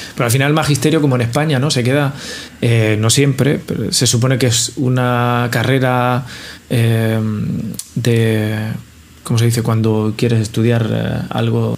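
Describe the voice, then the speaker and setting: A man with a medium-pitched voice speaks at a fairly slow pace, his loudness very even and his intonation fairly even, with audible room echo and noticeable background noise. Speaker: podcast co-host, bartender. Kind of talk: casual chat.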